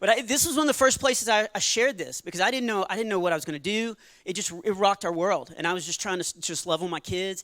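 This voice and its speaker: A man with a Texan accent talks at a very fast pace with hardly any pauses, his pitch high for a man. His tone is bright and sharp, with ordinary pitch variation. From Texas. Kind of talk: stand-up comedy with testimony. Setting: church stage with audience.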